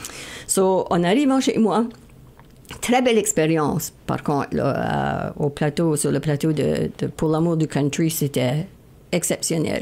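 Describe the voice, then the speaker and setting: Speaking at a very slow pace, a woman with a very deep, low pitch and a dark, mellow tone uses lively intonation and vocal fry. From Acadian New Brunswick, Baie-Sainte-Anne. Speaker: country singer. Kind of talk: radio interview. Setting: radio studio. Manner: casual, animated.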